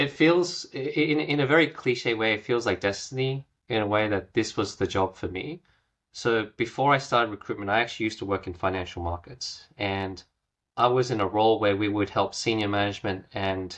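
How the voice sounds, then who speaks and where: The speaker has an Australian accent. The pace is fairly quick, with ordinary pitch variation. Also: man, fairly low pitch for a man. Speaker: recruiter. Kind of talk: podcast interview. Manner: soft-spoken.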